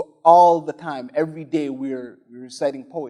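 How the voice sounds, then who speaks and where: Speaking with a Somali accent, a man keeps a moderate pace and fairly even intonation. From Somalia. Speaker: spoken word poet and arts entrepreneur. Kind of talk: panel discussion on stage. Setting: stage with audience.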